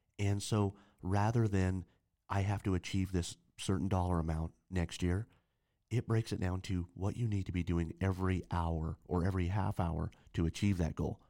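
A man talks in a very deep, low voice with a dark, mellow tone and fairly even intonation. His loudness stays very even and his pace is moderate. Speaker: podcast co-host. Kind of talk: casual chat.

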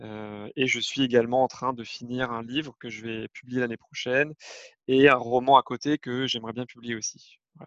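The sound is dry and close with no echo as a man speaks at a medium pitch in a flat monotone, his loudness swinging widely. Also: moderate pace. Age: 30s. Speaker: parenting blogger and father. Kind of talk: interview testimony. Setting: remote recording. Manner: hesitant, many fillers.

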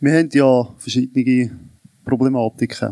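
The sound is dry and close with no echo as a man speaks at a very slow pace. His pitch is fairly high, and his intonation is fairly even. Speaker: citizens' association president. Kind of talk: panel debate.

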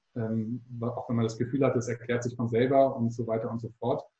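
A man talks at a fairly quick pace with a medium pitch. His voice is somewhat breathy, and his intonation is monotone and flat. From Hamburg, northern Germany. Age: 20s. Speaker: startup founder and doctoral student. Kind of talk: interview. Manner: hesitant with frequent fillers.

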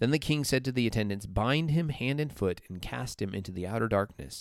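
The speaker talks in an Upper Midwestern accent at a moderate pace. The pitch swings very widely. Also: man. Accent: Upper Midwestern American. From US Midwest. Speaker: church podcast co-host. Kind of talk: casual Bible discussion.

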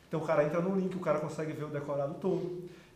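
Amid noticeable background noise and audible room echo, a man speaks at a fairly high pitch with monotone, flat intonation. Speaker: sales executive and consultancy founder. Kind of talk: interview.

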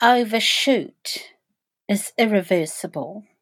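Speaking at a very slow pace, a woman uses ordinary pitch variation. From New Zealand, Eastern Bay of Plenty. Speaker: soil scientist, trust director. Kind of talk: interview.

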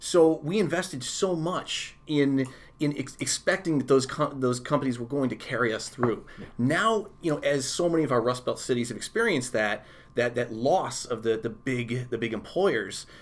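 A normal speaking voice from a man with an American accent, medium in pitch, with lively intonation at a moderate pace. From upstate New York (Victor, near Rochester). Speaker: urbanism blogger and photographer. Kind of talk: casual interview.

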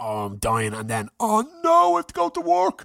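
A man speaks in a furious, animated tone. The recording is very clean, with a silent background. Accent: Irish. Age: 30s. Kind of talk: casual chat, then an angry rant done as a story. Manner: loud, furious, swearing, animated, mimicking his father's rage.

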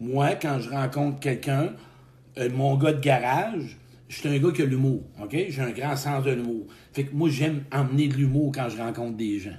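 With a Quebec accent, a man speaks in a fairly high, somewhat breathy voice at a moderate pace, with ordinary pitch variation and audible room echo. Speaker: motivational speaker. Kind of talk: live stream talk. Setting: live video stream. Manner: animated.

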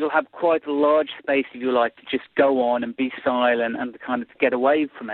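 Delivered in a British accent at a moderate pace, the speech has monotone, flat intonation and hardly any pauses. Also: man, medium pitch for a man. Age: 40s. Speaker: political commentator. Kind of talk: interview. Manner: halting.

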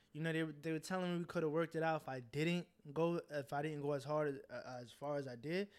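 A plain, everyday voice at a fairly quick pace. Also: man, fairly high pitch for a man, fairly even intonation. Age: 20s. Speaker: rapper, guest artist. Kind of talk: casual chat.

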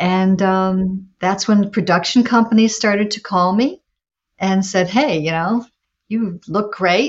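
Very slow and somewhat breathy, a woman's voice sits at medium pitch with ordinary pitch variation. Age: 60s. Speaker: adult performer. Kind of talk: interview.

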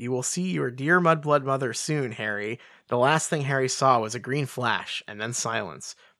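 Someone is doing plain reading aloud, and the pitch shifts only as much as is ordinary.

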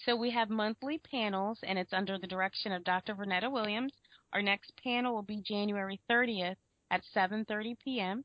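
In an American accent, a woman speaks with an ordinary speaking voice, fairly high in pitch, using fairly even intonation at a moderate pace. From US, Florida. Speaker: co-host.

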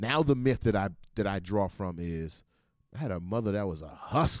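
An animated man with a fairly low pitch, lively intonation and an American accent. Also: very clean recording, silent background. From Washington, D.C. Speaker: podcast host. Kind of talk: casual monologue.

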